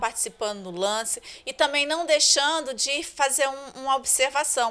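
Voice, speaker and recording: A woman with a high pitch and a bright, sharp tone speaks at a moderate pace with lively intonation. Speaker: school staff organizer. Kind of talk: interview answers. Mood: cheerful, grateful. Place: home room. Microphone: handheld.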